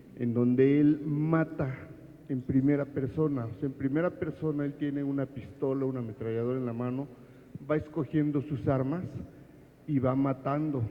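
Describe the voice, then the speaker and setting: An unremarkable speaking voice delivers the lines at a moderate pace with fairly even intonation. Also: man, fairly high pitch for a man. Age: 60s. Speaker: audience member asking a question. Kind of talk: audience question at book presentation.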